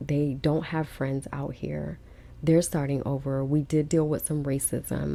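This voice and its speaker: A woman's very deep, low voice with a dark, mellow tone, an American accent, and a moderate pace. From Los Angeles, US West Coast. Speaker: podcast host, single mom. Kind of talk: personal testimony. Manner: animated, casual; emotional, shaky.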